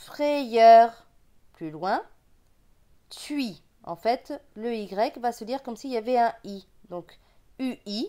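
A woman with a regional French accent and a dark, mellow tone, very slow in pace, with long, frequent pauses, lively intonation and big swings in loudness. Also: fairly high pitch for a woman. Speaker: reading teacher. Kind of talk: tutorial.

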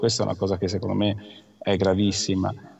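Flat and monotone, a man speaks in a fairly low pitch. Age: 50s. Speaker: doctor and union leader. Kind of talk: news interview. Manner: halting. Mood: concerned, critical. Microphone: video call.

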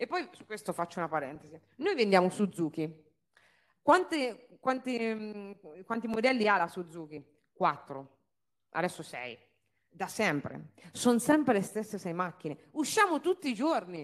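Against a quiet background, the animated delivery moves at a fairly slow pace with long, frequent pauses, very wide pitch swings, and big swings in loudness. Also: woman, medium pitch for a woman. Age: 30s. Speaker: car dealership owner; speaker. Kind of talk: business talk to an audience. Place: stage. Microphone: handheld.

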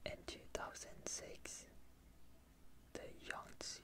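Whispered throughout. The pace is very slow. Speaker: ASMR artist; ASMR creator. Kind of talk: ASMR fact reading. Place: home room. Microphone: studio mic.

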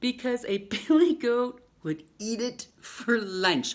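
Slowly, a woman talks at a fairly high pitch with big pitch swings.

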